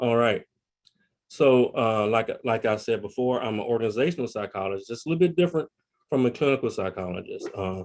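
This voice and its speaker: This man speaks in a Tennessee accent at a medium pitch. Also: ordinary pitch variation, fairly quick pace. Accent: Tennessee Southern. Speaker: psychologist and family therapist, Marine veteran. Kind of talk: webinar presentation. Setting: video call.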